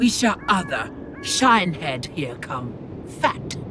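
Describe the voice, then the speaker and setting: Someone puts on a character voice at a middle pitch and a fairly slow pace, with clear background noise. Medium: video game. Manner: broken, halting grammar.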